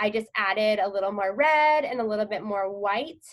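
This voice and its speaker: Lively in intonation, a woman speaks at a medium pitch and a fairly quick pace. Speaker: painting instructor. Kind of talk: tutorial. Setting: outdoors, live online class. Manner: fast; casual, many fillers.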